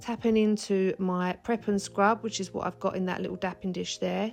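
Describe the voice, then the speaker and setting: Music in the background behind a woman at medium pitch, moderate pace and fairly even intonation. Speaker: nail technician. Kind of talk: tutorial voiceover.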